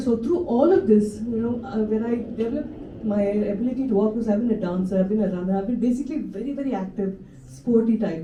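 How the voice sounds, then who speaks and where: Audible room echo surrounds a woman speaking at a fairly quick pace in a fairly high pitch with ordinary pitch variation. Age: 60s. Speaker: Parkinson's patient speaker, former performer. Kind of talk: personal testimony talk. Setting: stage with audience. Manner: halting, with false starts; animated.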